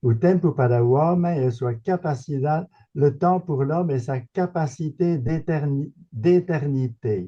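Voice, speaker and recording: A man speaks at a fairly slow pace, his voice dark, mellow and somewhat breathy. His pitch is fairly high, with ordinary variation. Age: 80s+. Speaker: retired philosophy professor. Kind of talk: Q&A question at a seminar. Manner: halting.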